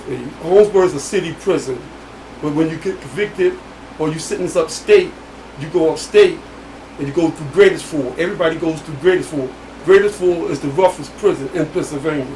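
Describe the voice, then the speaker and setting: Against noticeable background noise, a man with a high pitch talks at a fairly quick pace, his pitch varying in an ordinary way, his loudness swinging widely and his pauses long and frequent. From US Northeast, Philadelphia. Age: 60s. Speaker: exonerated former prisoner. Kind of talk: interview testimony.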